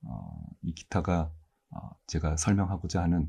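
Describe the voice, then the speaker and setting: A soft-spoken, somewhat breathy voice with a calm, dark, mellow tone, ordinary pitch variation and a fairly slow pace. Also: man. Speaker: university mathematics professor. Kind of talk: ASMR-style lecture, calm educational talk. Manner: soft-spoken, calm, sleep-inducing.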